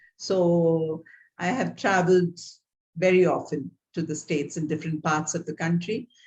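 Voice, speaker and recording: A woman speaks with a Tamil Indian accent. Her voice is fairly low and somewhat breathy. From South India, Tamil Nadu. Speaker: theologian and guest lecturer. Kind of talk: guest lecture over video call. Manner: halting, many fillers.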